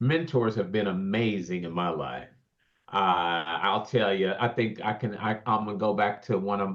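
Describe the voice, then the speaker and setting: Speaking with an unremarkable speaking voice, a man keeps a fairly low pitch, ordinary pitch variation and a moderate pace. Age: 60s. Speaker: keynote speaker and real estate developer, paraplegic. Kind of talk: podcast interview.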